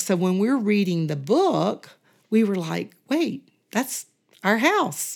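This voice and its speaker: Very slow pace and lively intonation, on a very clean recording with a silent background. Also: woman. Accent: Southern US. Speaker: church member, retired teacher. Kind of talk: casual interview.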